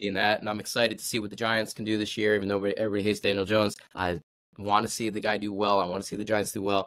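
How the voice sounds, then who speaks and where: Recorded very cleanly against a silent background, a man speaks in an American accent. His delivery is very fast and his intonation monotone and flat. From New Jersey, near New York City. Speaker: former Olympic gymnast and fitness coach. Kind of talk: casual podcast interview. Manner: loud.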